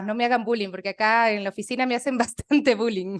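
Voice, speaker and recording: Speaking with an Ecuadorian accent, a woman shows ordinary pitch variation. The sound is dry and close with no echo, over a quiet background. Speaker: radio worker. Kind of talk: casual chat.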